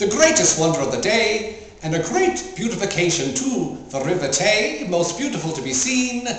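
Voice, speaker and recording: A man talks at a moderate pace with hardly any pauses, his high pitch swinging very widely. Noticeable background noise runs behind him. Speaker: actor. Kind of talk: poetry reading.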